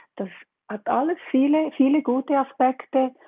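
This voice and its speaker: Speaking at a very slow pace, a woman talks with a Swiss accent. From Switzerland. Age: 50s. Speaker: relaxation coach, trained nurse. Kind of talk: interview podcast.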